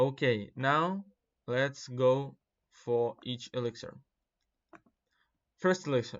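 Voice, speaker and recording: Speaking very slowly with long, frequent pauses, a man with a non-native accent keeps a medium pitch and ordinary pitch variation. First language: not English. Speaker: gaming content creator. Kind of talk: casual commentary. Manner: hesitant, many fillers.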